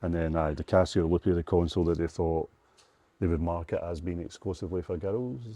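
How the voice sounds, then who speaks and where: A man's very deep, low voice in a Scottish accent, fairly quick with fairly even intonation. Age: 40s. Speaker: retro game shop owner. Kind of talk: casual chat. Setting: shop.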